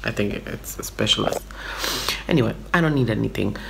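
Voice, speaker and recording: A woman speaks over noticeable background noise. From Brooklyn, New York. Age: 30s. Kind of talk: casual talk to camera. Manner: chatty, rambling.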